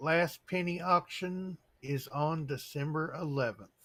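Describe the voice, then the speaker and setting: Bright and sharp in tone, a man's voice sits fairly high with ordinary pitch variation. He speaks at a very slow pace. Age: 70s. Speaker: coin collecting channel host. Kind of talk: casual chat. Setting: live stream.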